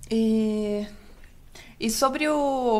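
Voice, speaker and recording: In a plain, everyday voice, a woman talks at a fairly high pitch with ordinary pitch variation. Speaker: podcast co-host. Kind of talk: casual interview chat.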